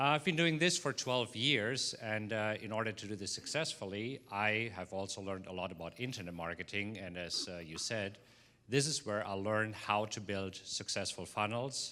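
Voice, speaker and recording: On a very clean recording with a silent background, a man with a fairly low pitch and a bright, sharp tone speaks at a moderate pace with lively intonation. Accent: American. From East Texas. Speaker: trading educator. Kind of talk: self-introduction to audience.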